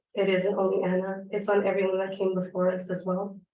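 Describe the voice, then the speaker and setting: Audible room echo surrounds a woman speaking at medium pitch in monotone, flat intonation. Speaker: teacher making public comment. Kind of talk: public comment at council meeting. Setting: city council meeting.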